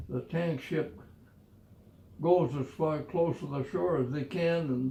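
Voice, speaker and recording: With an American accent, a man speaks at a very slow pace in a fairly high pitch, his dark, mellow tone somewhat breathy and his pitch variation ordinary. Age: 80s+. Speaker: war veteran. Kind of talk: casual storytelling.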